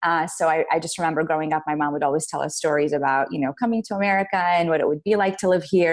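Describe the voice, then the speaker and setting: Speaking at a very fast pace, a woman with an Arabic accent has a fairly low pitch and ordinary pitch variation. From Iraq, Baghdad; moved to the US at twelve. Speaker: business leader. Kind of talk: interview. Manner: many fillers and restarts.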